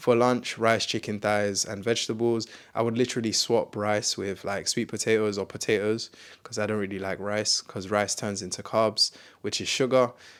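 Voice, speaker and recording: Fairly low male voice, very clean recording and a silent background. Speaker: fitness content creator. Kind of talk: casual tutorial. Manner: fast; animated.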